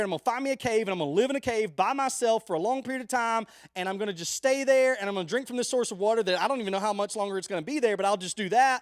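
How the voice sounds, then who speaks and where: A loud man's voice with an extremely high pitch, a very fast pace and ordinary pitch variation, in a very clean recording with a silent background. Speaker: youth pastor. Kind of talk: sermon. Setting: live stream.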